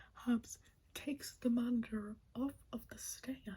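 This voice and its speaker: A soft-spoken woman is whispering. She goes at a very slow pace. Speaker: ASMR creator. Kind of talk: ASMR wrestling recap and ramble. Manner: whispering, soft-spoken.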